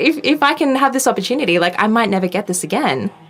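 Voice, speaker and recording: A woman with an Australian accent at a fairly quick pace, over noticeable background noise. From Australia, Sydney. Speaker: tech journalist. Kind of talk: interview. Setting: podcast.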